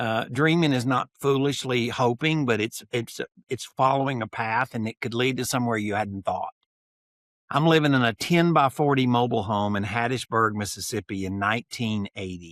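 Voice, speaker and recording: With an ordinary speaking voice, a man talks at a moderate pace in a medium pitch with ordinary pitch variation, recorded very clean with a silent background and a dry, close sound with no echo. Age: 60s. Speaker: note and land investor. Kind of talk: podcast interview.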